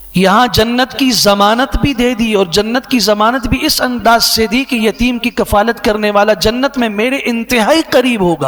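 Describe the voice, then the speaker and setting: An extremely high-pitched man speaks with ordinary pitch variation. His loudness stays very even despite noticeable background noise. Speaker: Islamic scholar. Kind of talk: Islamic sermon (bayan) quoting hadith.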